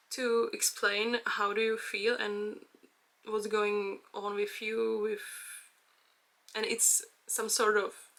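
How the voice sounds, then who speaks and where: A woman with a Czech accent speaks at a very slow pace. Her fairly high-pitched voice has a bright, sharp tone. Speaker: vlogger. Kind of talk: personal vlog monologue. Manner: halting, many fillers.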